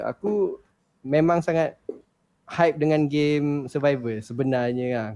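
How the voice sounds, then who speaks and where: A man's dark, mellow tone with ordinary pitch variation and long, frequent pauses. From Shah Alam, Selangor, Malaysia. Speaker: gamer. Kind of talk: casual chat.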